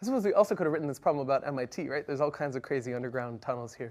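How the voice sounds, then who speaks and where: Words come at a very fast pace on a very clean recording with a silent background. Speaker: university lecturer. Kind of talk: lecture.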